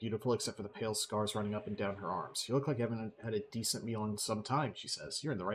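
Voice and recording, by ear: A passage read aloud in a natural voice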